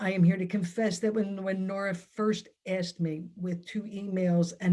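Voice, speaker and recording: Speaking at a fairly slow pace, a woman has a dark, mellow, somewhat breathy tone and monotone, flat intonation. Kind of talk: talk at online event.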